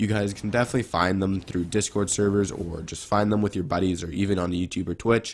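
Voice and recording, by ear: A raspy man speaks at low pitch and a fairly quick pace. His intonation is fairly even.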